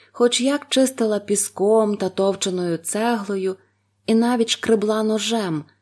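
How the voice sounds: The setting is quiet. A natural reading voice carries the text.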